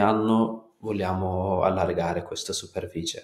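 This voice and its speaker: Audible room echo surrounds a man's voice. He speaks at a very slow pace with ordinary pitch variation. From Kurdistan, Turkey. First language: Turkish or Kurdish (speaking Italian). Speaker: natural farmer. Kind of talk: interview.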